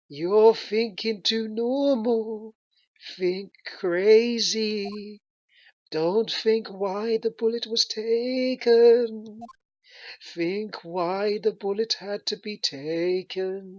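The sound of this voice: A female-sounding voice puts on a character voice at a fairly high pitch for a woman. The delivery comes at a very slow pace.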